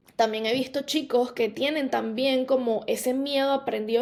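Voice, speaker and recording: A woman with a normal speaking voice, fairly even intonation and a fairly quick pace. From Venezuela. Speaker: podcast host, life coach. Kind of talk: podcast monologue. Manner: casual, many fillers.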